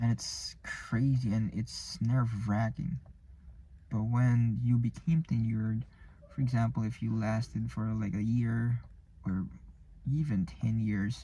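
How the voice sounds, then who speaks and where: A man's somewhat breathy, dark, mellow voice at medium pitch, with fairly even intonation, a fairly slow pace and long, frequent pauses. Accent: non-native. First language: not English. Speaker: vlogger practicing public speaking. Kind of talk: solo vlog monologue. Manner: halting, many false starts and repetitions.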